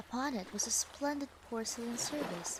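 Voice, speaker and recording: Noticeable background noise surrounds the recording. A woman speaks at a fairly slow pace. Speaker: vtuber storyteller. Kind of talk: fairy tale reading. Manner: soft-spoken.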